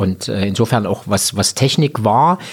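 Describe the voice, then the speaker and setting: The man talks at a moderate pace. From Thuringia, Erfurt area (rural). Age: 50s. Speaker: hospitality association head, former innkeeper and chef. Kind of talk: interview. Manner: hesitant, many fillers.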